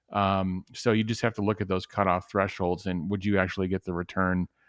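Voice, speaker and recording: A man's very deep, low voice in a Chicago accent, monotone and flat, at a fairly quick pace, dry and close with no echo over a quiet background. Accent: outside of Chicago. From Chicago area, US. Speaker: tesla investing panelist. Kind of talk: casual panel discussion. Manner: halting, with many fillers and repeats.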